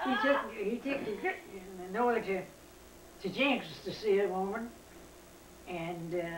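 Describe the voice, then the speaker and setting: A woman speaks with an Appalachian accent. Audible room echo surrounds her voice. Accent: Appalachian Southern. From US South. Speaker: family elder. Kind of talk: storytelling.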